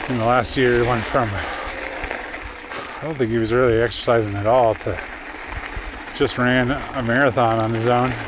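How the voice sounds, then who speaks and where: Amid crowd noise and audible room echo, a man speaks in a monotone, flat intonation at a medium pitch and a fairly slow pace. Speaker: mountain biker vlogger. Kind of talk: casual vlog narration while riding. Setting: outdoors on a mountain bike trail.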